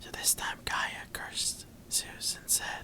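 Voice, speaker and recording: Whispering in a soothing tone comes through over noticeable background noise. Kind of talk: ASMR boyfriend-roleplay bedtime reading of Greek mythology, quiet and intimate. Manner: quiet, whispering, soothing.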